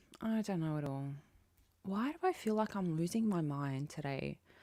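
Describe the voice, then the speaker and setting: In a very clean recording with a silent background, a woman with an Australian accent speaks at a moderate pace, her fairly low pitch carrying lively intonation. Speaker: livestreamer. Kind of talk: casual chat with live chat viewers. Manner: loud.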